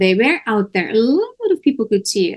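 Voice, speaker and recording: A woman talks at a moderate pace in a Dutch accent. Her intonation is lively. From Netherlands. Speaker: talk show host. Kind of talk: interview discussion. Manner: animated.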